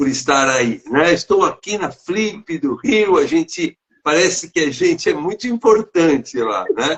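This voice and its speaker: A man's fairly slow speech with hardly any pauses. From São Paulo state, Brazil. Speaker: teacher and author. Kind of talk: interview. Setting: online live stream. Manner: halting.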